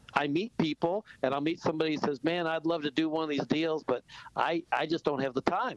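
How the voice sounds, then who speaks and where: A man's fairly high voice at a fairly quick pace, dry and close with no echo, over noticeable background noise. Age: 60s. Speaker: real estate investor. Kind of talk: radio interview. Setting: radio studio. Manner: animated.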